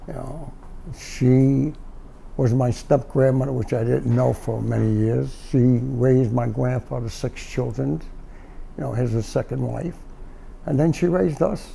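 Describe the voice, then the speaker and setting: A man with a New York accent, with long, frequent pauses. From New York, Brooklyn (Bath Beach). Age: 70s. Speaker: doorman, Korean War veteran. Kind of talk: interview. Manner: halting.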